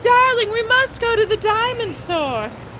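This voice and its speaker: A female-sounding put-on character voice with a British accent, pitched extremely high, moves at a moderate pace. Background noise is clearly audible. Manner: posh, affected.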